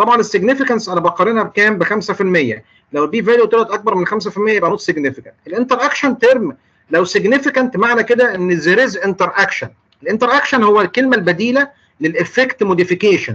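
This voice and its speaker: The voice is bright and sharp in tone, moving at a very fast pace with ordinary pitch variation. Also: man, high pitch for a man. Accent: Egyptian. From Egypt. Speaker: clinical pharmacist lecturer. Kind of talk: lecture. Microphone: video call.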